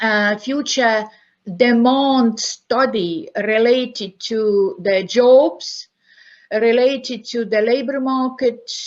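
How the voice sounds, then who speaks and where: Over a quiet background, a woman with an Estonian accent speaks very slowly at a fairly high pitch with ordinary variation. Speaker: university professor. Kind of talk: conference lecture. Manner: halting, many fillers.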